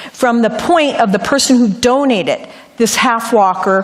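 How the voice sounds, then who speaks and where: Audible room echo surrounds a woman speaking with an American accent at a moderate pace. Her high-pitched voice has lively intonation. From Ohio, US Midwest. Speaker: lay preacher. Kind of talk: sermon with personal testimony. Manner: occasional stumbles and repetitions.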